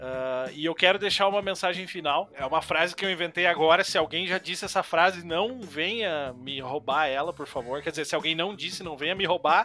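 At a moderate pace with ordinary pitch variation, the speaker has an ordinary speaking voice. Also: man. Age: 30s. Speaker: podcast host. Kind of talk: casual interview.

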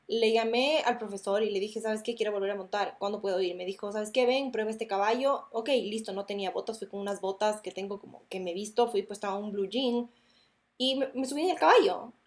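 Here a woman talks at a fairly quick pace. Her fairly high pitch shows ordinary variation. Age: 20s. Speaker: podcast host. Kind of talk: casual monologue.

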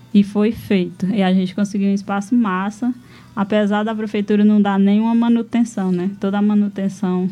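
A woman's somewhat breathy voice at a medium pitch. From Brazil, Ceará sertão (Pentecoste). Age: 20s. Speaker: rural settler, cultural activist. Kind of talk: radio interview. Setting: radio studio.

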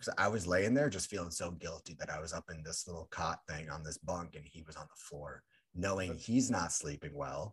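Speaking at a fairly quick pace, a man with a very deep, low pitch sounds somewhat breathy. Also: ordinary pitch variation, big swings in loudness. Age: 20s. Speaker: podcast host. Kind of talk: casual chat.

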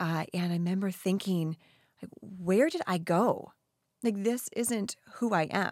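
An ordinary speaking voice, fairly slow, its pitch varying in an ordinary way. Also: woman, medium pitch for a woman. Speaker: wellness coach and podcast host. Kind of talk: casual interview chat.

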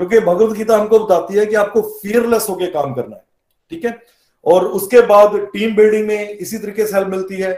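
This man speaks with a high pitch and fairly even intonation. His loudness swings widely. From Punjab, India (Jalandhar). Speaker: company CEO. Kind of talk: interview testimony.

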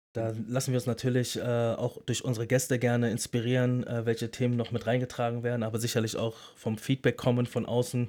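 Fairly quick, flat, monotone male speech with a dark, mellow tone, on a very clean recording with a silent background. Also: medium pitch for a man. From Berlin. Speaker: podcast co-host, former battle rapper. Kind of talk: casual chat.

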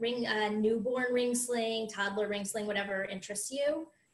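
An American woman with an ordinary speaking voice talks at a fairly slow pace, her pitch fairly high. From US, Florida. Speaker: accountant and mother. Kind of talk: tutorial.

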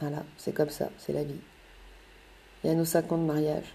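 In a very deep, low pitch, a woman talks fairly slowly with a dark, mellow tone and monotone, flat intonation. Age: 30s. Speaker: mother telling her life story. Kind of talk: personal storytelling monologue.

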